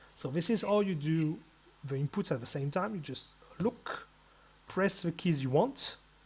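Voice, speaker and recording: The speaker has a non-native accent and talks at a fairly slow pace. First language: not English. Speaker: video game tutorial maker. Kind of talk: tutorial. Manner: casual, halting with repetitions.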